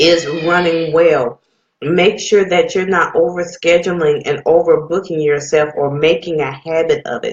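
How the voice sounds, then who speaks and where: A woman with an ordinary speaking voice talks at a fairly slow pace, with fairly even intonation and a fairly low pitch. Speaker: radio host. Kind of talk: radio talk, motivational business advice. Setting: live radio and online stream.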